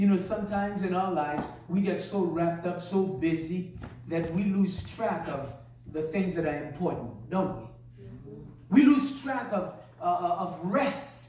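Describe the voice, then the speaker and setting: A man with a high pitch and lively intonation speaks amid noticeable background noise and audible room echo. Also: fairly slow pace. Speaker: pastor. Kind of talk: sermon.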